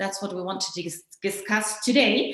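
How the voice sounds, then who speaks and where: A woman with a German accent speaks in a room with audible echo and noticeable background noise. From Germany. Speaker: journalist and conference moderator. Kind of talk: conference moderation. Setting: online digital conference.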